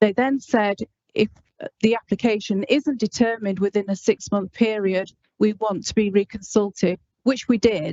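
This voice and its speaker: Speaking at a moderate pace, a woman keeps her fairly high-pitched voice in a fairly even intonation. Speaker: planning officer. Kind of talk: committee meeting answer. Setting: council meeting. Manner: formal.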